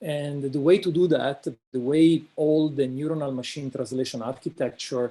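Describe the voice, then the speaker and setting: A man speaks with an Italian accent and a dark, mellow tone. His intonation is fairly even and his pace moderate. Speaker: invited speaker, researcher. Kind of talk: lecture. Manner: halting, many fillers.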